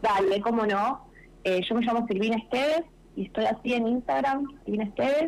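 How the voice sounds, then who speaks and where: A woman with an unremarkable speaking voice talks at a moderate pace and a fairly high pitch. Her intonation is lively while her loudness stays very even. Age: 30s. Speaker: documentary filmmaker. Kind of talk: radio interview.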